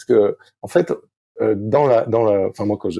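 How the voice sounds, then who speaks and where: A man speaks at a moderate pace. His tone is dark and mellow and somewhat breathy. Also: dry, close sound with no echo. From southwest France (Arcachon basin). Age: 50s. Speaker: sailing coach. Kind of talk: podcast interview. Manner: halting, many fillers.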